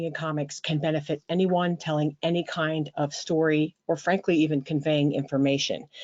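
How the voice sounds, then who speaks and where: Talking at a moderate pace with an American accent, a woman has an unremarkable speaking voice at a fairly low pitch. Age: 60s. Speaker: graphic memoirist and writing teacher. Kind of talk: interview.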